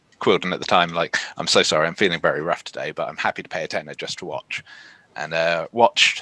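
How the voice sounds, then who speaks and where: A man speaks quietly at a fairly quick pace. The sound is dry and close, with no echo. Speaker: professional wrestler. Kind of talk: interview.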